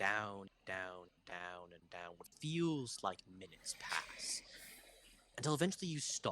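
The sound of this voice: A man with a bright, sharp tone, a slow pace and lively intonation.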